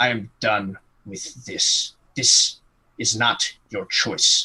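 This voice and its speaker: A man hisses in a put-on character voice. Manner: seething.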